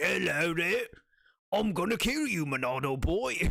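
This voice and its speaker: A put-on character voice from a man, high in pitch and moderate in pace. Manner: silly, mock-threatening.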